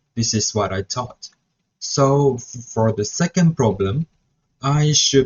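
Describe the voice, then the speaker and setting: A man with a Mandarin accent speaks in a somewhat breathy voice. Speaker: student teacher. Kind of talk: reflection vlog. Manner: halting.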